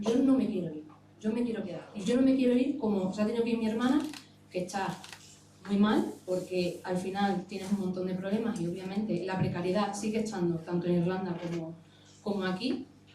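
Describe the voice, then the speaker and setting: A woman of medium pitch speaks at a fairly quick pace with ordinary pitch variation, against noticeable background noise and audible room echo. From Extremadura, Spain (Navalmoral de la Mata). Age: 30s. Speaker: emigrant political activist. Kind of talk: panel talk.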